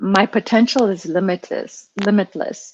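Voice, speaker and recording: The speaker is a woman with a French accent. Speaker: coaching client. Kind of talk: coaching session conversation. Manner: halting.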